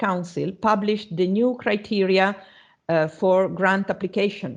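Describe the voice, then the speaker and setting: Speaking fairly slowly with an Italian accent, a woman uses a medium pitch and ordinary pitch variation against a quiet background. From Italy. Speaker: university lecturer. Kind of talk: online lecture. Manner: halting, many fillers.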